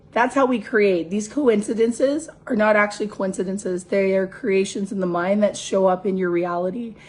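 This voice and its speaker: Somewhat breathy and strained, a woman speaks at medium pitch and a moderate pace. She has ordinary pitch variation and hardly any pauses. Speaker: spiritual coach. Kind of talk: motivational talk.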